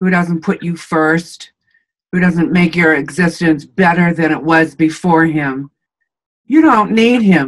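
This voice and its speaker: A woman speaks with an unremarkable speaking voice at a fairly low pitch. Her pace is fairly slow, with ordinary pitch variation. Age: 60s. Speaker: interviewee in couple interview. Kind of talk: interview.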